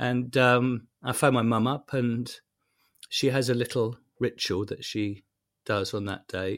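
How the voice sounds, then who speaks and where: A man at medium pitch, fairly slow and with fairly even intonation, in a very clean recording with a silent background. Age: 50s. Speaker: priest, journalist and broadcaster. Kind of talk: interview. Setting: home study. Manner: halting.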